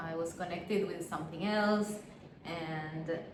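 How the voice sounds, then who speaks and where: A woman with an Argentine accent speaks in a fairly low voice amid noticeable background noise. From Argentina. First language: Spanish. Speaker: family constellation facilitator. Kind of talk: interview answer. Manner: hesitant, searching for words.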